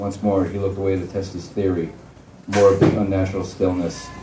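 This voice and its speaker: Against noticeable background noise, a man with a fairly low pitch talks at a very fast pace. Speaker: horror fiction author. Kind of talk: live author reading of a horror short story. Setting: live venue.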